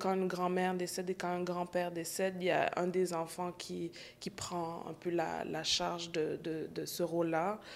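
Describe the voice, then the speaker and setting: The delivery is monotone and flat in intonation, at a fairly slow pace. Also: woman. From Montreal, Quebec. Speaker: emerging artist. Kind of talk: interview.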